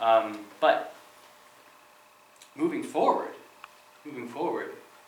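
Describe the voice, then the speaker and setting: A man talks at a very slow pace, with audible echo from the room. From Goldendale, Washington, US Pacific Northwest. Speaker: citizen speaking at public comment. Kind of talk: public comment at city council meeting. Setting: city council meeting room. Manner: halting, with fillers and repetitions.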